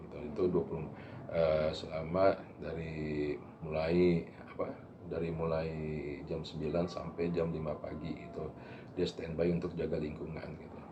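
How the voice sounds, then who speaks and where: A man's very deep, low pitch in a monotone, flat delivery at a moderate pace, with noticeable background noise and audible room echo. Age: 60s. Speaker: neighbourhood head. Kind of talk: interview. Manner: halting.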